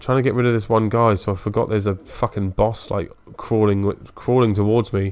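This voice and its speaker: A man with a British accent at a moderate pace. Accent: British, drops T sounds. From Britain. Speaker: gaming streamer. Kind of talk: casual live-stream commentary. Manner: sniffs and clears throat often.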